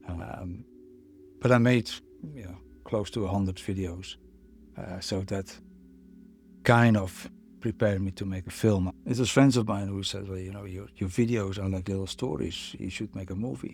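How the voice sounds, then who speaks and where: With a Dutch accent, the speaker goes at a moderate pace with ordinary pitch variation, big swings in loudness, and long, frequent pauses. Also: man, fairly low pitch for a man. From Netherlands. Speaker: photographer and filmmaker. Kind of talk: interview answer. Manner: reflective, hesitant.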